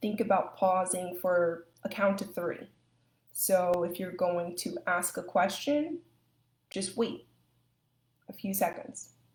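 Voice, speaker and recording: A somewhat breathy voice at a very slow pace, with long, frequent pauses and ordinary pitch variation. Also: woman, medium pitch for a woman. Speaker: speech language pathologist. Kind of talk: live educational talk.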